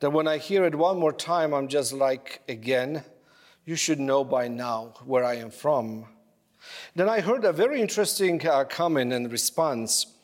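A man speaks with a non-native accent and lively intonation. The recording is very clean, with a silent background. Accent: foreign. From abroad, another country. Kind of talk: homily. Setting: church. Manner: halting.

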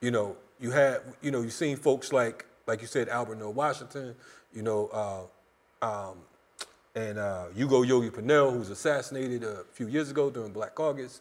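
Here is a man with an ordinary speaking voice at a medium pitch. He keeps a moderate pace with ordinary pitch variation. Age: 50s. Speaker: podcast host. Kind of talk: casual chat.

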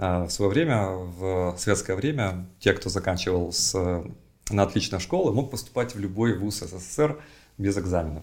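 Ordinary pitch variation and a moderate pace mark a man's very deep, low voice. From Siberia, Novosibirsk. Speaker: writer and writing teacher. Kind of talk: casual interview.

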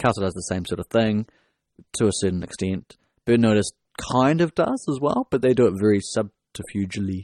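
With a New Zealand accent, a man speaks fairly quickly at a fairly low pitch with ordinary pitch variation, the sound dry and close with no echo. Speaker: podcast host. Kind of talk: casual chat.

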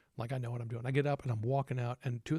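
A man's dark, mellow, somewhat breathy voice with an American accent, at a very fast pace with fairly even intonation, on a very clean recording with a silent background and a dry, close sound with no echo. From Texas. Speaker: trumpet player and teacher. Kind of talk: casual podcast conversation.

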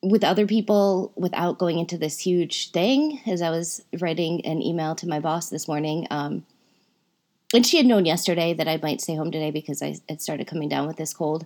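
A woman speaks with an upstate New York accent, her pitch fairly low with ordinary variation. The recording is very clean, with a silent background. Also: moderate pace. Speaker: podcast host. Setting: home, in bed. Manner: conversational, rambling.

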